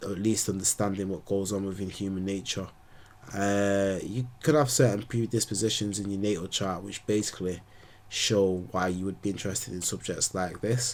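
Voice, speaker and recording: The man's voice is fairly low and his intonation fairly even. He speaks at a moderate pace in an unremarkable speaking voice. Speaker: astrologer. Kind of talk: casual monologue to camera.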